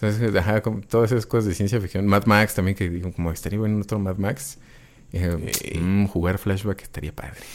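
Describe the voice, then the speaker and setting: Using a plain, everyday voice, a man speaks fairly low in pitch at a fairly quick pace with fairly even intonation. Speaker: podcast co-host. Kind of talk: casual chat.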